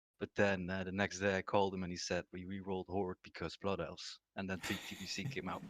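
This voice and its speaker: A man's very deep, low voice at a very fast pace, monotone and flat, with hardly any pauses, in a dry, close sound with no echo. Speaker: gaming guild leader. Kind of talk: casual interview. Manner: soft-spoken.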